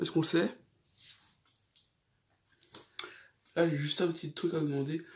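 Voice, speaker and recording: His pitch is fairly high for a man. The intonation holds fairly even throughout. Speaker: gaming YouTuber. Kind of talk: casual vlog storytelling. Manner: trying to speak slower than usual.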